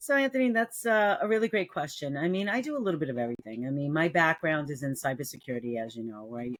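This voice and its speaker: Talking at a very fast pace with hardly any pauses, a woman with a New York accent has a very deep, low pitch and very wide pitch swings. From New York City. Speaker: cybersecurity entrepreneur. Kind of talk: casual interview. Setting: remote call. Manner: animated.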